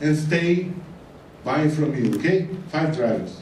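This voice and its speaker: A man with a non-native accent and ordinary pitch variation, plus audible room echo and noticeable background noise. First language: Portuguese. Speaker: retail consultant. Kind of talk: conference talk. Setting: stage with audience.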